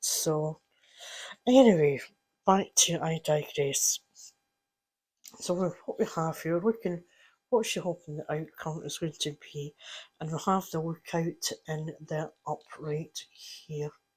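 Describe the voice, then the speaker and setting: Spoken very slowly with long, frequent pauses in a Scottish accent, the clip is a very clean recording with a silent background. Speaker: card reader.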